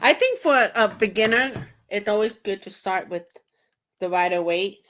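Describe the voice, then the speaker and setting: Woman with a slight New York accent and medium pitch, at a moderate pace with ordinary pitch variation and big swings in loudness. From US, New York. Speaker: tarot reader. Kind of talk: casual chat. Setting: live stream.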